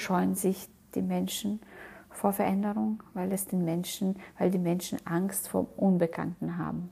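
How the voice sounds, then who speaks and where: Speaking very slowly with a non-native accent, a woman uses a dark, mellow tone that is somewhat breathy and fairly even in intonation. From outside Germany. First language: not German (speaking German). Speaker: motivational podcast host. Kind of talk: motivational monologue. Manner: halting, many fillers.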